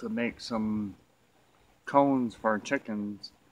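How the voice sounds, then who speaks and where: In an unremarkable speaking voice, a man talks at a fairly low pitch with fairly even intonation. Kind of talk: casual vlog tutorial. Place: garden.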